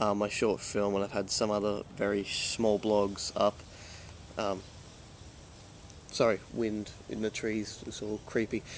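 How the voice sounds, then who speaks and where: This man talks at a fairly slow pace, with long, frequent pauses. His fairly low voice stays monotone and flat, with a slight Australian accent. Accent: mild Australian, mistaken for English. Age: young. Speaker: vlogger and film student. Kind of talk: casual vlog. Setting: outdoors. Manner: many fillers, halting.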